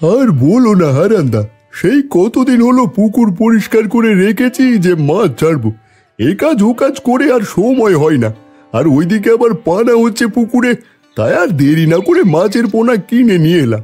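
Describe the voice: Faint music plays behind a man doing a cartoonish character voice pitched high for a man. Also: moderate pace.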